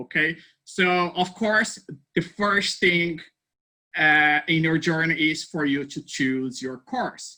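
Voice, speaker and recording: Speaking at a very slow pace, a man with a Portuguese accent has a high pitch and a bright, sharp tone. The recording is very clean, with a silent background. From Brazil. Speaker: university placement advisor. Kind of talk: informational presentation. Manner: friendly, hesitant with fillers.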